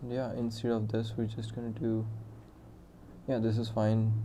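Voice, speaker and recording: With a dark, mellow tone and medium pitch, a man speaks in a monotone, flat delivery. His moderate pace is heard through audible room echo. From India. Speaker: software developer streaming live coding. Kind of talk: live coding stream with chat interaction. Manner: casual, thinking aloud with fillers.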